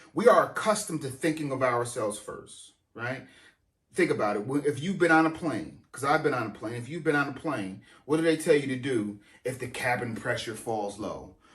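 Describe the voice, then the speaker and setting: A man at medium pitch talks at a fairly quick pace, with audible room echo. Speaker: pastor. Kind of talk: sermon. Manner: halting, repeats words.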